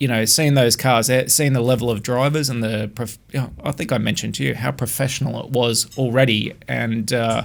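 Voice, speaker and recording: In an Australian accent, a man speaks at a medium pitch. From Australia, Adelaide. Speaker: former touring car technician. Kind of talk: podcast interview.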